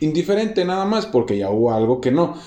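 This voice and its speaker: A man talks at a fairly quick pace with a Mexican accent. His tone is dark and mellow. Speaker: podcast host. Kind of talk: casual interview chat. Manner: halting, many fillers.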